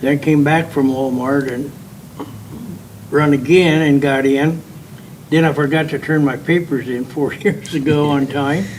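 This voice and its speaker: Over noticeable background noise, a man with a Midwestern American accent talks fairly slowly in a fairly high pitch, with fairly even intonation and long, frequent pauses. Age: 80s+. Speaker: political candidate. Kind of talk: candidate introduction. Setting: public forum with audience. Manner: halting.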